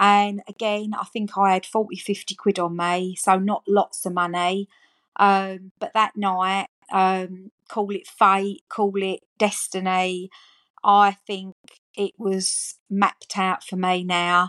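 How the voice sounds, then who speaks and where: In an Essex accent, a woman speaks at a very slow pace and medium pitch with monotone, flat intonation, the sound dry and close with no echo on a very clean recording with a silent background. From Essex, England. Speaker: gambling harm support worker with lived experience. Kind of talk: personal testimony.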